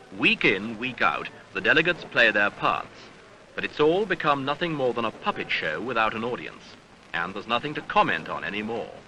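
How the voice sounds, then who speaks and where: A man's medium-pitched voice at a fairly quick pace, with very wide pitch swings amid noticeable background noise. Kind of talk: newsreel narration.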